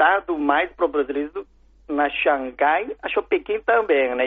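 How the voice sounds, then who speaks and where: A man with a Chinese accent, fairly high pitch and a fairly slow pace. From China. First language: Chinese (speaking Portuguese). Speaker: food importer. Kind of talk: interview. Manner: halting.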